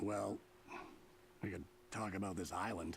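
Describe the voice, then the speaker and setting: A raspy, put-on character voice from a man, fairly low in pitch, with fairly even intonation at a moderate pace over clear background noise. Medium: video game. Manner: relaxed, gentle.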